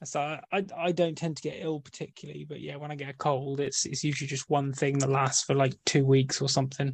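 A man speaks fairly quickly with a British accent, his pitch fairly high for a man and somewhat breathy. His intonation is flat and monotone, with hardly any pauses. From Britain. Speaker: podcast co-host. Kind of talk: casual chat.

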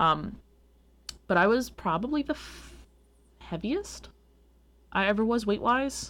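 Speaking at a fairly slow pace with long, frequent pauses, a woman talks in an American accent. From US Northeast (Long Island, New York). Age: 20s. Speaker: podcast host. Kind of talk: casual chat.

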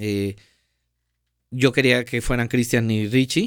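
A man speaks at a moderate pace in a normal speaking voice, medium in pitch, with fairly even intonation. The recording is very clean, with a silent background. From Mexico, Veracruz (Paso de Ovejas). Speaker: guitarist and music video director. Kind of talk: podcast interview. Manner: casual, slangy.

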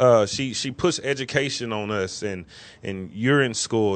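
Over a quiet background, a man speaks at a medium pitch. His is a normal speaking voice with ordinary pitch variation. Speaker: co-host. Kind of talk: casual chat. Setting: studio.

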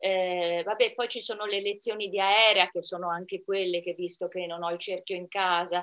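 Fairly even intonation and a moderate pace in an ordinary speaking voice. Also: woman. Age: 60s. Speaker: amateur pole dancer. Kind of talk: interview.

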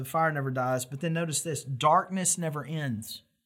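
In a very clean recording with a silent background, a man talks at a moderate pace in a normal speaking voice, his pitch fairly high with ordinary variation. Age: 40s. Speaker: pastor. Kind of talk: sermon.

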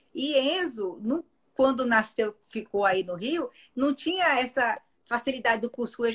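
This is a woman's voice. Her pitch rises and falls in very wide swings. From Brasília, Brazil. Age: 40s. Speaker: TV presenter and radio host. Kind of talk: casual chat. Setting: Instagram live.

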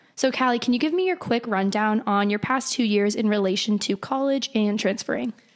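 Amid noticeable background noise, a woman speaks at a fairly high pitch with ordinary pitch variation, very even loudness and hardly any pauses. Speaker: podcast host. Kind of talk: casual chat. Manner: animated.

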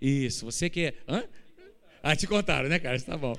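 Fairly quick speech from a man with lively intonation and audible room echo. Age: 50s. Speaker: pastor. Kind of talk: sermon. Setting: church.

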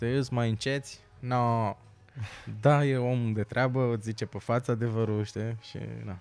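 A man with a plain, everyday voice speaks at a medium pitch and a fairly slow pace. His intonation stays fairly even on a very clean recording with a silent background. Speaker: stand-up comedian. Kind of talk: casual chat.

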